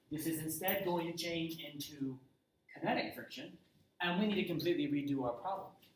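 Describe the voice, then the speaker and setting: Amid audible room echo, a man with a high pitch talks at a fairly quick pace. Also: ordinary pitch variation. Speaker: high school physics teacher. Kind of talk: lecture.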